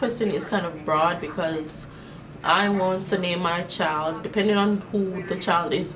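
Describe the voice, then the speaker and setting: With audible room echo and noticeable background noise, a woman speaks in an animated tone at a medium pitch with ordinary pitch variation. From Jamaica. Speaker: beauty vlogger. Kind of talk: casual chat. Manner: casual, animated.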